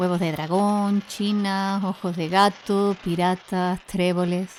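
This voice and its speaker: A woman at medium pitch has a plain, everyday voice with ordinary pitch variation. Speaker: podcast host. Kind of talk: podcast intro narration.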